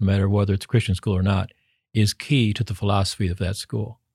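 A man's fairly low, somewhat breathy voice on a very clean recording with a silent background, dry and close with no echo. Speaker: education dean. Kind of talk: interview.

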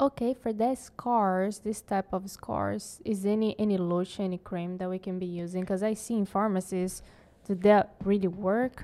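At a moderate pace, a woman with a dark, mellow tone and medium pitch speaks with fairly even intonation in a very clean recording with a silent background. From Brazil. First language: Portuguese. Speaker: podcast guest. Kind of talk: casual chat.

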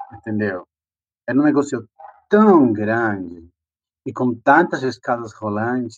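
Speaking with a Spanish accent, a man uses a medium pitch and lively intonation. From Peru. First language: Spanish (speaking Portuguese). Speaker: drag performer and migrant. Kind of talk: interview testimony. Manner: animated.

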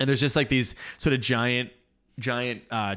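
In a very clean recording with a silent background, a man speaks at a moderate pace in a Canadian accent. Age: 40s. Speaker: podcast host, church planter. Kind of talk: solo book summary and commentary. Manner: halting, many fillers and restarts.

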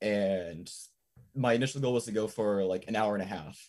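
Fairly even intonation in an American accent, on a very clean recording with a silent background. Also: man. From US Midwest, Missouri. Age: young. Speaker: caller, runner. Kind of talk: casual chat.

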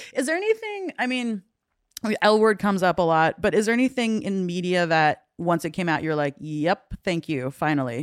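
This woman has a normal speaking voice at a medium pitch. She keeps a moderate pace with lively intonation. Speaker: podcast co-host. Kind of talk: casual comedic chat.

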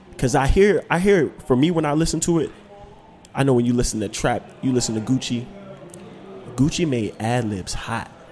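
A man speaks at a moderate pace with lively intonation and a medium pitch. He takes long, frequent pauses, and there is noticeable background noise. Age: young. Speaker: podcast co-host. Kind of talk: casual chat.

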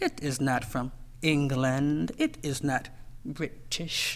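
A man speaks at a very slow pace with an American accent. His pitch is fairly high. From US, Washington D.C. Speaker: poet. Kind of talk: poetry reading.

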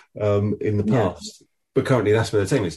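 A somewhat breathy man with an Essex accent, fairly low in pitch, with ordinary pitch variation. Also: quiet background. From Essex, England. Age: 40s. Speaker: podcast host, agency owner. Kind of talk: interview.

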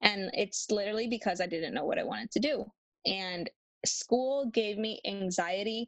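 Heard with a dry, close sound and no echo, a woman uses a normal speaking voice at a medium pitch, a moderate pace and ordinary pitch variation. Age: 20s. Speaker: mom entrepreneur and dental assistant. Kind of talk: casual chat.

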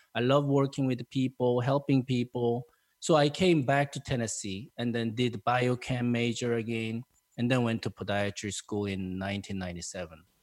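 A man speaks with a Korean accent at medium pitch. The sound is dry and close, with no echo. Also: ordinary pitch variation, moderate pace. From South Korea. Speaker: podiatrist and podcast host. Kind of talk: interview conversation. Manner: friendly, enthusiastic; hesitant, filler-heavy.

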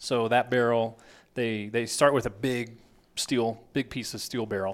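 With an American accent, a man speaks in an unremarkable speaking voice at medium pitch, moderate pace and fairly even intonation, in a very clean recording with a silent background. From Texas. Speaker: firearms company sales executive. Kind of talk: casual chat.

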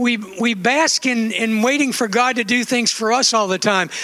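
A raised, projected voice carries at a moderate pace through noticeable background noise. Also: man. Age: 60s. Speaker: preacher. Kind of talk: sermon. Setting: church.

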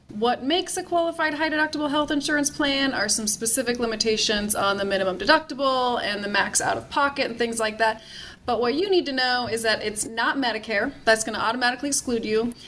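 Over noticeable background noise, a woman talks very fast with hardly any pauses, her high pitch showing ordinary variation. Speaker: tax expert. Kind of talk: interview.

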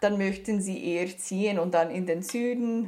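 A woman talks at a medium pitch. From Canada. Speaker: doctoral researcher in ornithology. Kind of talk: interview. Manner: halting, with frequent fillers.

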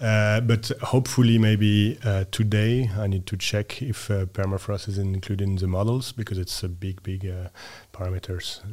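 Somewhat breathy and fairly low in pitch, a man speaks at a moderate pace with fairly even intonation in a French accent. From France. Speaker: researcher and ship owner. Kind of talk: casual interview. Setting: studio.

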